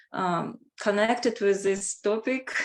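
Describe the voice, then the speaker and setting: A woman speaks at a medium pitch with a Russian accent. The recording is very clean, with a silent background. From Russia, Moscow. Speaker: language teacher. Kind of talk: self-introduction in group video chat. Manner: halting.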